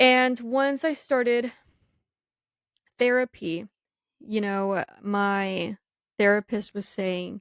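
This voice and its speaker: With an American accent, a woman speaks at a very slow pace with long, frequent pauses, a fairly high pitch and ordinary pitch variation, in a dry, close sound with no echo. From US (grew up there after moving from Mexico at two). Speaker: podcast co-host. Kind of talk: casual chat. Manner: casual, filler-heavy.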